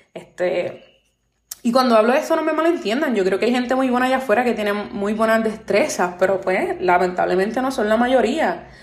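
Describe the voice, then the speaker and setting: A woman talks at a fairly quick pace with lively intonation in a Puerto Rican accent. Audible room echo surrounds her voice. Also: fairly high pitch for a woman. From Puerto Rico. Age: 20s. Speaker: podcast host. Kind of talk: solo podcast monologue.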